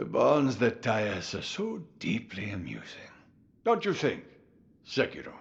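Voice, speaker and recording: A man's put-on character voice at a medium pitch. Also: moderate pace. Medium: video game. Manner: amused, chuckling, unhurried.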